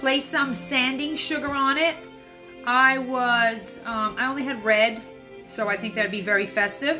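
The speech moves at a fairly slow pace with ordinary pitch variation. Music plays in the background. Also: woman. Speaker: home cocktail host. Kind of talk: casual tutorial chat. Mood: cheerful, apologetic asides. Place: home room. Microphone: phone near.

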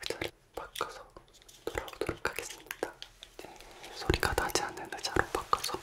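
A soft-spoken man whispers at a moderate pace. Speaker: ASMR creator. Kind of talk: soft spoken ASMR talk. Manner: soft ASMR whisper close to mic. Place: home room. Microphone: studio mic.

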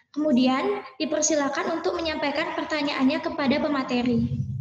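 Light background noise and audible room echo around a woman's voice. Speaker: webinar moderator. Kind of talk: formal event moderating. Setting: video call. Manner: formal. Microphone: earbuds.

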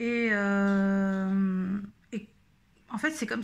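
A woman's fairly high pitch comes through on a very clean recording with a silent background. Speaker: YouTube vlogger. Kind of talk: casual vlog monologue. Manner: halting, many fillers.

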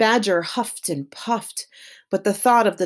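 The pitch varies in an ordinary way. It comes in an unforced reading voice.

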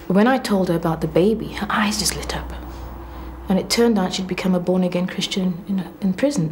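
Against light background noise, a woman talks at a fairly quick pace in a fairly low voice. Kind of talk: interview answer. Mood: earnest, emotional recollection. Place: office. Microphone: lapel.

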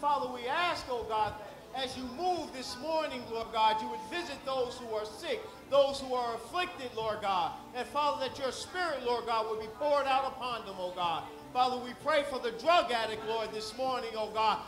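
With clear music behind him and audible room echo, a man speaks at a moderate pace in an extremely high voice with ordinary pitch variation. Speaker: church leader giving welcome and prayer. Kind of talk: prayer and welcome. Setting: church. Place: church.

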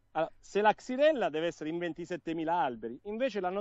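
A man's high voice, very fast, with very wide pitch swings. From southern Italy, Salento (Apulia). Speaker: interview guest on olive tree disease. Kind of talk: live interview.

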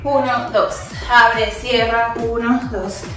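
Ordinary pitch variation over clear background music, with audible room echo. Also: woman. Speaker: fitness instructor. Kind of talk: workout instruction cues. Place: home room.

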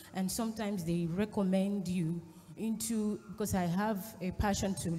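Her voice is dark and mellow, somewhat breathy. The woman's intonation stays fairly even. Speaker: congregant with a question. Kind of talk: testimony. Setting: church. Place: church. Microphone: handheld.

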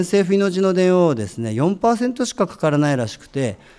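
Against a quiet background, a man with a dark, mellow tone talks at a moderate pace, his pitch swinging very widely. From Fukuoka, Japan; Japan. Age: 30s. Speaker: architect, writer and artist; guest. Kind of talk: public talk. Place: hall. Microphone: handheld.

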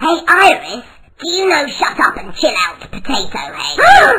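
This is a cartoonish character voice with an extremely high pitch. It sounds raspy and moves at a moderate pace. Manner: offhand, sarcastic, sulky.

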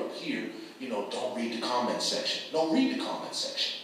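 Strong room echo and light background noise accompany a man speaking with an American accent. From Boston. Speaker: community activist and media publisher. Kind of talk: panel talk. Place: hall.

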